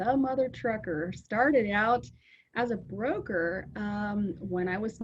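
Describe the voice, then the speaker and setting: Her voice is somewhat breathy, and she has an American accent. The woman uses ordinary pitch variation. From US Pacific Northwest, Seattle. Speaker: trucking company owner. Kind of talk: interview. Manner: hesitant with many fillers.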